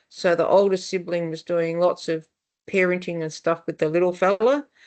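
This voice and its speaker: Fairly quick speech from a woman with an Australian accent, against a quiet background. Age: 60s. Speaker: family therapist. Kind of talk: webinar panel discussion. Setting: online webinar. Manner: conversational, with fillers and restarts.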